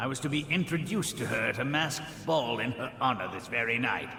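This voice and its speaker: A man puts on a character voice at a fairly quick pace and medium pitch, with clear background noise and a slight echo. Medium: video game. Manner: haughty, self-assured.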